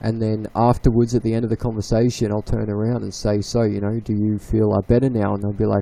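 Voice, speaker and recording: Speaking at a very fast pace with an Australian accent, a man has a medium pitch, a dark, mellow tone and a monotone, flat intonation. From Victoria, Australia. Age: 20s. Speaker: livestream guest. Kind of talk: casual chat. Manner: halting.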